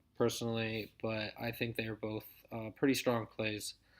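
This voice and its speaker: Recorded very cleanly against a silent background, a man speaks at a moderate pace and medium pitch in a plain, everyday voice. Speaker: daily fantasy golf analyst. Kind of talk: solo breakdown video, casual analysis. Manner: casual with many fillers.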